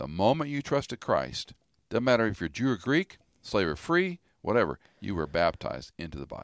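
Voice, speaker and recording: A man's pitch swings very widely, and his loudness shifts a lot. Vocal fry runs through his voice. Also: medium pitch for a man. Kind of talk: conversational biblical teaching. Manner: explanatory.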